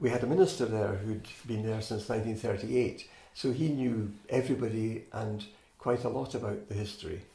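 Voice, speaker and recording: Speaking at a fairly quick pace, a man with a medium pitch and ordinary pitch variation sounds somewhat breathy, with audible room echo. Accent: Scottish. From Scotland, Fife (Inverkeithing). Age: 70s. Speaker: oral history interviewee. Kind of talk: oral history interview. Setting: interviewee's home.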